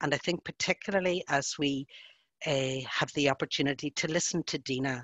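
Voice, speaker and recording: Against a quiet background, a woman with a Northern Irish accent talks at a moderate pace in a very deep, low pitch, the sound dry with no echo. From Northern Ireland. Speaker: social worker and facilitator. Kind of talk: webinar presentation, spoken freely. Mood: gentle, caring, cautious. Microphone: video call.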